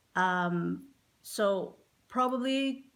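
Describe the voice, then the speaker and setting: A woman talks at medium pitch in a Visayan Filipino accent. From Philippines. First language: Visayan (Cebuano). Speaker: physical therapist. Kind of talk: casual vlog introduction. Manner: halting, many fillers.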